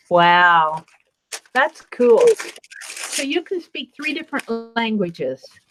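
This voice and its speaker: Music plays in the background as a woman speaks at a very slow pace with long, frequent pauses. Her high pitch swings very widely. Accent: American. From Nebraska, US Midwest. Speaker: crafter, video co-host. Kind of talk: casual chat. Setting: video call. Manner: animated. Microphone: echo.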